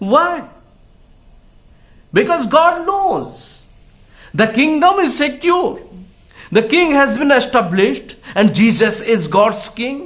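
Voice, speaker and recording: A man speaks at an extremely high pitch with very wide pitch swings. His pace is very slow, with long, frequent pauses. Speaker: pastor. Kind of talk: sermon / Bible message. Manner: slow, frequent fillers, switches between English and Hindi.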